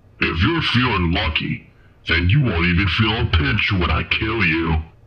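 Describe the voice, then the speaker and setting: Using a cartoonish character voice, a man talks at a moderate pace with a very deep, low pitch. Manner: menacing, taunting.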